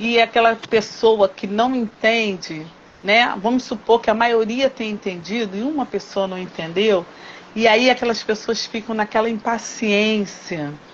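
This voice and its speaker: Noticeable background noise is present throughout. Over it, a woman talks fairly slowly. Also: fairly high pitch for a woman, ordinary pitch variation. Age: 60s. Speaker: teacher and craftswoman. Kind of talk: interview conversation.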